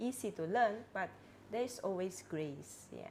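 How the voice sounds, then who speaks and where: This woman talks at a fairly slow pace in a Cantonese accent. Her pitch swings very widely. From Penampang, Sabah, Malaysia. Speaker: religious sister. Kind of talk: casual interview. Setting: studio.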